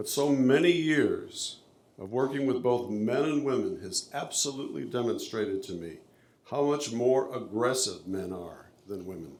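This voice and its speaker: With audible room echo, a man of medium pitch speaks at a moderate pace, using lively intonation and big swings in loudness. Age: 70s. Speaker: public commenter, company executive. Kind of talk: public comment at a city meeting. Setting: city planning commission meeting. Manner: formal.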